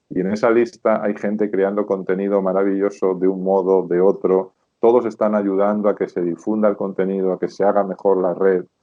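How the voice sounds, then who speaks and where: A man with a Spanish accent talks at a fairly quick clip in a fairly low, monotone voice, barely pausing at all. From Spain, rural Zamora province. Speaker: sales expert and consultant. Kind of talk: interview.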